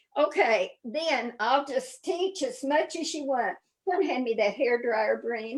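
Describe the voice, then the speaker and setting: Here a woman speaks at a very slow pace with a high pitch. Her intonation is lively. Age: 80s+. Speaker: decorative painting teacher. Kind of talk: painting demonstration. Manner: halting, repeats words.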